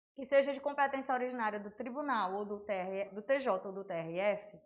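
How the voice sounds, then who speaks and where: With lively intonation, a woman talks amid audible room echo. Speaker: law teacher. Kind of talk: online lecture. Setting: livestream. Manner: casual, conversational.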